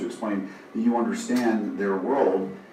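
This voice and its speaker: A man speaks at a medium pitch with ordinary pitch variation, against noticeable background noise and audible room echo. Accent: American. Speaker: software company founder and attorney. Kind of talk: business presentation. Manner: animated.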